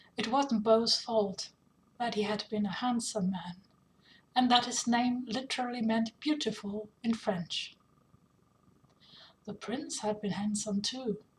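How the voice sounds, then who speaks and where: A woman with a non-native accent talks at a fairly slow pace with long, frequent pauses. Her voice is fairly high, somewhat breathy, and fairly even in intonation. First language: not English. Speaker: author reading own fanfiction. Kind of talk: reading aloud.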